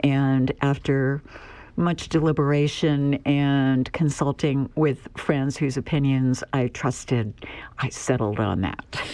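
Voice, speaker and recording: A woman speaks at a very slow pace in a very deep, low voice with a dark, mellow tone, an American accent, fairly even intonation and very even loudness against a quiet background. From Pennsylvania, US. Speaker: poet and retired university professor. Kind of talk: interview answers and poetry reading.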